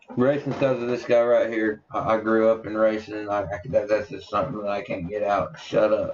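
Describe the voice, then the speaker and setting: Noticeable background noise sits behind a man's voice. He talks at a fairly quick pace with hardly any pauses. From Tennessee. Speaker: podcast co-host. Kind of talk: casual chat.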